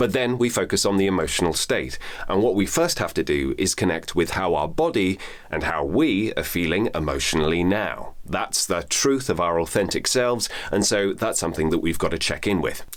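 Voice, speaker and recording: A man's fairly low voice with very even loudness, a calm tone, lively intonation and a moderate pace over noticeable background noise. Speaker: voice actor and voiceover coach. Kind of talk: instructional talk to camera. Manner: calm, measured, explanatory.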